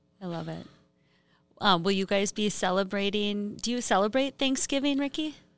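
A woman speaks with an Upper Midwest accent. The recording is very clean, with a silent background. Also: medium pitch for a woman, ordinary pitch variation, moderate pace. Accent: Upper Midwest (Minnesota). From northern Minnesota. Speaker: economic development professional. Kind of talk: interview.

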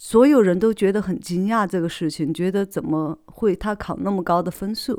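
The tone is dark and mellow, with ordinary pitch variation and hardly any pauses. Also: woman, medium pitch for a woman, moderate pace, very clean recording, silent background. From Sichuan, China. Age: 30s. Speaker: podcast host. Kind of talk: solo motivational monologue. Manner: hesitant, many fillers and repetitions.

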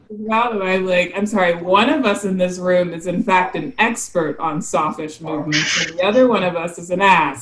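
Speaking at a moderate pace with an American accent, a woman talks at a medium pitch over noticeable background noise. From South Carolina. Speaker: marine biologist, shark scientist. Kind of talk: casual chat.

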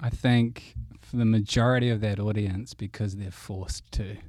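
Recorded very cleanly against a silent background, a man with a New Zealand accent speaks at a fairly slow pace with ordinary pitch variation. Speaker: guest host. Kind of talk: casual chat.

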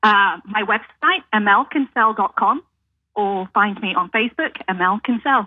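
A woman with a British accent, fairly high-pitched, with ordinary pitch variation and a fairly slow pace. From UK. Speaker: realtor. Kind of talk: radio interview.

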